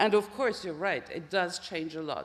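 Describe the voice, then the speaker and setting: A woman with a French accent speaks at a fairly low pitch. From France. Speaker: professor, social psychologist. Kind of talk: Q&A answer after lecture. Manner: hesitant.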